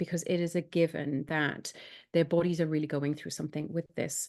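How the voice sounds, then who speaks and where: A woman with a Welsh accent talks in a dark, mellow tone at a fairly low pitch, with monotone, flat intonation over a quiet background. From Wales. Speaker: sleep specialist. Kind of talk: live Q&A.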